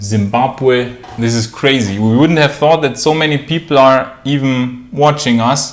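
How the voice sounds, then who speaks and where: Fairly slow speech from a man at a medium pitch, with noticeable background noise. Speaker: YouTube channel co-host. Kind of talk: casual live-stream Q&A chat. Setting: live stream from their room. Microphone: room echo.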